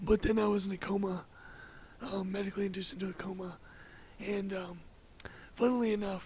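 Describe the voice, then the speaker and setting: Pausing long and often, a man with a high pitch talks at a fairly quick pace in a monotone, flat intonation. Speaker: podcast guest sharing life story. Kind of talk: casual interview conversation. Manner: halting, with many fillers.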